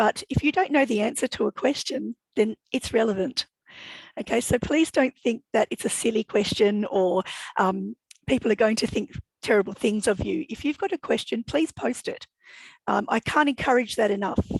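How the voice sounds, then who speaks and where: A woman with fairly high pitch, lively intonation and a somewhat breathy voice, in a dry, close sound with no echo. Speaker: education consultant and academic. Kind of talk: workshop presentation. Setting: video call. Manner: fast when excited.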